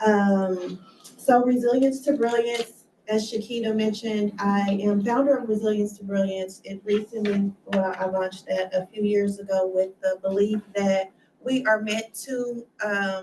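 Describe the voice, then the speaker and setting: Over noticeable background noise, a woman speaks at a fairly slow pace. Her pitch is medium and her intonation fairly even. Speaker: community advocate and author. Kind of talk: motivational talk. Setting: in-person audience with microphone, also streamed. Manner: soft-spoken.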